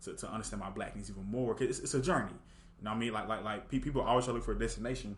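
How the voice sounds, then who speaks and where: With an American accent, a man talks at a very fast pace amid audible room echo. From Houston, Texas. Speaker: university student. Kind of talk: casual interview. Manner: halting, with frequent repetitions.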